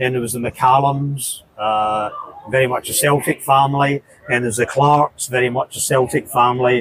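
A man talks at a moderate pace with medium pitch and fairly even intonation. The sound is dry and close with no echo, though background noise is noticeable. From Scotland (southeast of Glasgow). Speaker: football fan. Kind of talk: interview. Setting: pub.

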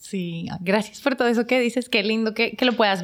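This woman has an ordinary speaking voice with a fairly high pitch. She talks at a fairly quick pace. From Colombia, Bogotá. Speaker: business owner. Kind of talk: casual chat.

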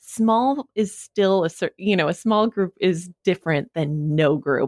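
In a dry, close sound with no echo, a woman with a plain, everyday voice and an American accent speaks at a fairly slow pace in a fairly low pitch. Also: very clean recording, silent background. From Wyoming, US. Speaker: podcast company founder. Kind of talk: interview conversation.

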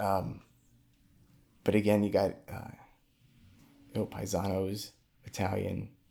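Using a dark, mellow tone and a fairly low pitch, a man with an American accent speaks at a fairly slow pace, with long, frequent pauses and big swings in loudness. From Brooklyn, New York. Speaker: accountant. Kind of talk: casual interview.

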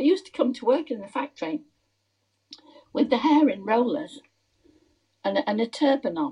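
With an English accent, a woman's high-pitched voice has a dark, mellow tone, lively intonation and big swings in loudness at a moderate pace, broken by long, frequent pauses. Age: 90s. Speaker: interviewee, podcast host's mother-in-law. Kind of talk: casual chat.

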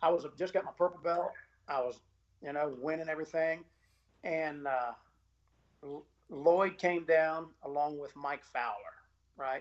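Speech comes at a fairly slow pace in a Southern US accent. Long pauses appear frequently. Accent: US South. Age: 40s. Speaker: jiu-jitsu instructor. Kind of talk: casual chat. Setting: home garage.

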